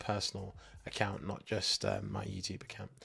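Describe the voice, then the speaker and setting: A man is speaking here. His voice carries vocal fry. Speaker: tech tutorial YouTuber. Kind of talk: casual talk to camera with screen walkthrough.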